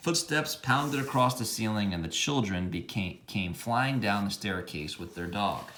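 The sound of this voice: The unforced reading voice moves with lively intonation.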